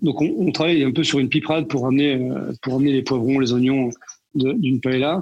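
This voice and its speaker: This man speaks at a fairly quick pace in a medium pitch. His loudness is very even and his intonation fairly even. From northern France, Tourcoing (Nord). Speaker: chef. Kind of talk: interview. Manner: halting, many repetitions and fillers.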